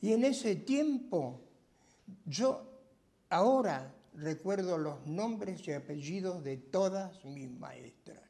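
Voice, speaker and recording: Long, frequent pauses break up delivery that runs at a very slow pace. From Argentina, Buenos Aires area (Temperley). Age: 90s. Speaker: retired cartographer. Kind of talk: oral history interview. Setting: at home.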